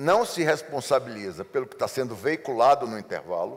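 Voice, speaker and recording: At a moderate pace, a man speaks with vocal fry. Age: 60s. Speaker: advertising executive. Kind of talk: interview. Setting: seminar.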